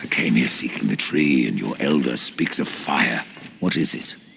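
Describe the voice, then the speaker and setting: A put-on character voice from a man, very deep and low in pitch, at a moderate pace. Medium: video game. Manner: terse, cold.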